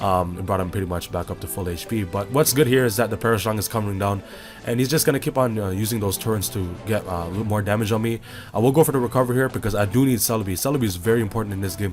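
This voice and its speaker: Music plays in the background while the speech runs at a very fast pace with ordinary pitch variation. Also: man, fairly low pitch for a man. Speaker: Pokemon battle commentator. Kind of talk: casual gameplay commentary.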